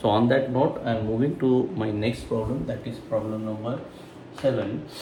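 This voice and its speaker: Audible room echo and noticeable background noise fill the recording. A man talks at a moderate pace, his medium pitch showing ordinary variation. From India. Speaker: math tutor. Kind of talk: tutorial. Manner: halting, many fillers.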